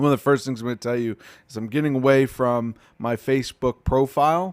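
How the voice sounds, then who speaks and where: Recorded very cleanly against a silent background, with a dry, close sound and no echo, a man uses an unremarkable speaking voice at a medium pitch. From Pittsburgh then Texas (Dallas area). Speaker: coffee catering business owner, live streamer. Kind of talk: casual live stream chat. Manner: conversational, many fillers.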